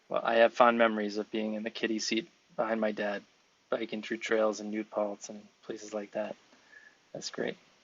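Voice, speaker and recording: In an American accent, a man with a fairly low pitch speaks with monotone, flat intonation. His pace is moderate, with long, frequent pauses. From New York City (the Bronx). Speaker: podcast host, speech-language pathologist. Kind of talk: interview podcast.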